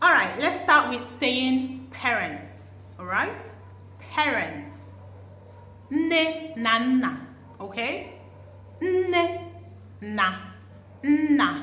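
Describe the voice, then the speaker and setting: At a very slow pace, a woman speaks with long, frequent pauses. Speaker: language teacher vlogger. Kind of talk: language lesson.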